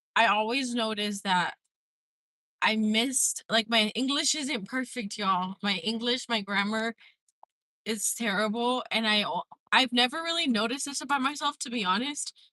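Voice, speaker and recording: A woman talks with a Spanish accent in a fairly high pitch. Her pitch variation is ordinary, and the sound is dry and close with no echo. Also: moderate pace. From Mexico. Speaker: livestreamer. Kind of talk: casual livestream chat. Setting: in a car, driving. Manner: rambling, filler-heavy.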